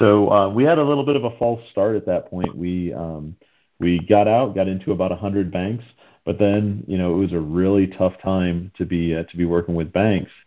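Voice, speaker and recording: Speaking with an American accent, a man uses a very deep, low pitch. His pitch variation is ordinary. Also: moderate pace. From Northeast US. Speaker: fintech founder and CEO. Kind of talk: interview. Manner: hesitant, many fillers.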